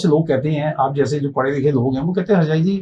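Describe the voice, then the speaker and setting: The speaker uses a plain, everyday voice with ordinary pitch variation. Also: man. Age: 60s. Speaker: motivational speaker and life coach. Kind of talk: podcast interview, personal story.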